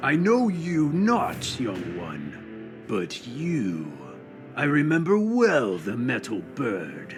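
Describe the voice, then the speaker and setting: A man puts on a cartoonish character voice at medium pitch and a very slow pace. Clear music plays in the background. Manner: archaic, formal.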